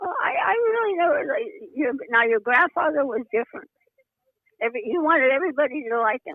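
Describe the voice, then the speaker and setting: Fairly quick speech from a woman with a high pitch and very wide pitch swings. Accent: American. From US Midwest. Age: 80s+. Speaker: podcast guest. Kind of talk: casual chat. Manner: halting.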